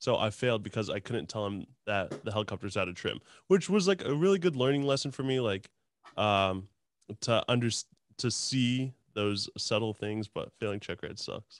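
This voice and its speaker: A man with an unremarkable speaking voice and medium pitch talks at a moderate pace with lively intonation, in a dry, close sound with no echo and a quiet background. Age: 20s. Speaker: podcast host and helicopter pilot. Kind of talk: casual chat.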